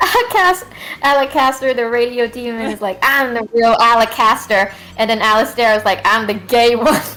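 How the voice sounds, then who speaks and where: Noticeable background noise is heard behind the recording. A woman speaks at a moderate pace and fairly high pitch with ordinary pitch variation. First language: not English. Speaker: livestream co-host. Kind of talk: casual chat. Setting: livestream. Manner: halting.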